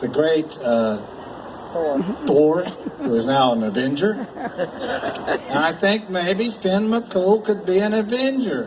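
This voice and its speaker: With noticeable background noise and audible room echo, a man with an American accent speaks at a high pitch with very wide pitch swings. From Appalachia, US. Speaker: storyteller. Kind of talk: storytelling performance. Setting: stage with audience. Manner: animated.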